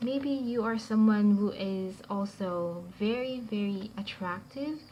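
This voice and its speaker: A woman with a non-native accent speaks in a somewhat breathy voice. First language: not English. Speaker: tarot reader. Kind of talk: tarot reading to camera. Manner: halting, with fillers; stutters at times.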